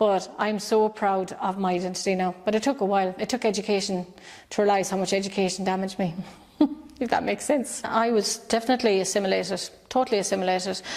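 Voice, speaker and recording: A woman with an Irish accent talks at a very fast pace. Her loudness stays very even. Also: medium pitch for a woman, fairly even intonation. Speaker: children's author, poet and activist. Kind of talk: interview answer.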